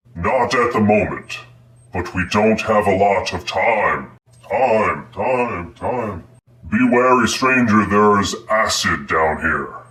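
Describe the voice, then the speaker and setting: A put-on character voice at a fairly slow pace. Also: man, medium pitch for a man. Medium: actual play. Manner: formal, calls the hero stranger.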